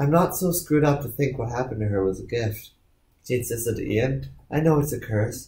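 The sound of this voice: The recording features an unforced reading voice.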